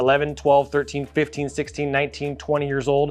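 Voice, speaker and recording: A man talks at a fairly quick clip. His voice sounds animated and fairly high-pitched. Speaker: graphic designer and YouTuber. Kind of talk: vlog monologue. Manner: fast.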